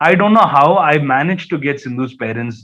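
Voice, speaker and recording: A man with a Keralan accent, fairly high in pitch, at a fairly quick pace. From India, Hyderabad (Malayali family). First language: Malayalam. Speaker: journalist. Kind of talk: talk to students. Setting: webinar. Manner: animated storytelling; hesitant repetitions.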